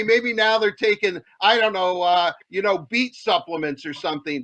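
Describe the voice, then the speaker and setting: A man's raised, projected voice, dry and close with no echo, moves at a moderate pace through very wide pitch swings. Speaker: podcast / show host. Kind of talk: sports show host banter.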